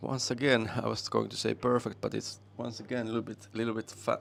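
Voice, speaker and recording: A man talks at a fairly quick pace with a Finnish accent. His medium-pitched voice has vocal fry. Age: 50s. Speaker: pool commentator and player. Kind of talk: live commentary.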